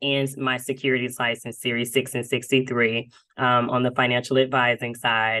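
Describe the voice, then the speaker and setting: Her pace is moderate. The woman talks in a Southern US accent. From US South, Dothan, Alabama. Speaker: insurance marketing executive. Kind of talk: podcast interview. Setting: podcast interview. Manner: animated, many fillers.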